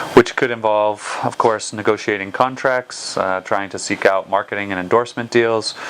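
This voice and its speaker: The speaker has an American accent and uses hardly any pauses. The intonation is monotone and flat, with noticeable background noise. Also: man, fairly low pitch for a man, moderate pace. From United States. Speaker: football agent. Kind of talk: interview. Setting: office.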